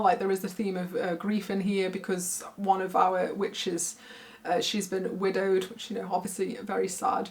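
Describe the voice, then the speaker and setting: Noticeable background noise runs under the recording. A woman speaks at a medium pitch. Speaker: book reviewer. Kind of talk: casual talk to camera.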